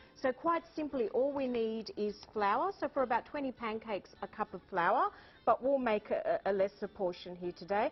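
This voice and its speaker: With an Australian accent, the speaker uses lively intonation at a moderate pace. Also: woman, fairly high pitch for a woman. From Greek island, born in Sydney. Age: 40s. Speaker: cookbook author and chef. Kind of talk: TV cooking demonstration. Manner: animated.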